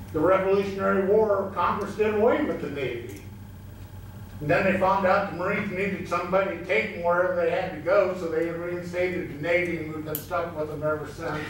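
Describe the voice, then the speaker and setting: A man's high-pitched voice at a fairly quick pace, with light background noise and audible room echo. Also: ordinary pitch variation. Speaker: member of the public addressing council. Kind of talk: public comment speech. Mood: friendly, lightly humorous. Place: hall.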